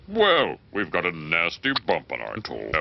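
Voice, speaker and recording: A man puts on a cartoonish character voice with a very deep, low pitch. He keeps a moderate pace. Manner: authoritative.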